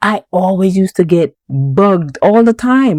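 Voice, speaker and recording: A woman with a Jamaican accent speaks in a dark, mellow tone. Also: dry, close sound with no echo. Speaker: podcast host. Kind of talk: podcast monologue. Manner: conversational.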